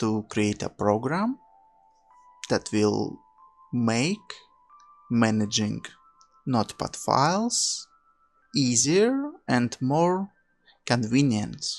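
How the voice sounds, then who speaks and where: A man with a non-native accent speaks at a very slow pace. Music plays in the background. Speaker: hobbyist programming vlogger. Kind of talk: tutorial. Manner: halting.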